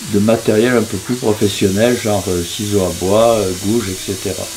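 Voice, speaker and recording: Through audible room echo and noticeable background noise, a man speaks at a fairly low pitch with fairly even intonation. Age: 80s+. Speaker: sculptor. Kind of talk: interview. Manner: halting, frequent hesitations.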